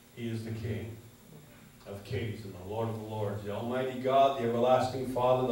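Strong room echo surrounds a man's voice as he speaks. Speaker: preacher. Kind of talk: sermon. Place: church. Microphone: pa.

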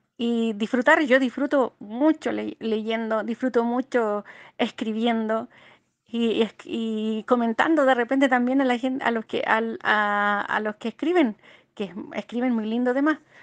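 The speech comes at a fairly slow pace with ordinary pitch variation, in a dry, close sound with no echo over a quiet background. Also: woman, fairly high pitch for a woman. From Chile. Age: 50s. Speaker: amateur poet. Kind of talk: interview. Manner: halting.

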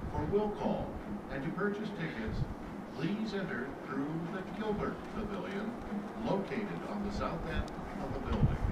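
A man talks at a moderate speed, stopping often for long pauses, with loud noise behind him. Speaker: arena PA announcer. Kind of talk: arena public address announcement.

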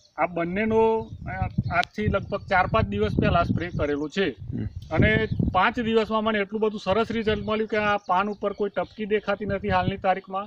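A man with a high pitch speaks with fairly even intonation and very even loudness over noticeable background noise. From Gujarat, India (Sabarkantha district). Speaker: farmer. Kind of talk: testimony.

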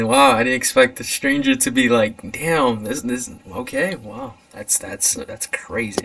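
Against noticeable background noise, a man speaks at a fairly slow pace with big swings in loudness. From USA. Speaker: podcast host. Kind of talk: casual chat. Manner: animated.

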